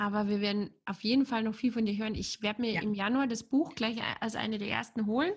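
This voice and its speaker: Her voice is somewhat breathy. This woman goes at a fairly quick pace. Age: 40s. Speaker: podcast host. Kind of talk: interview.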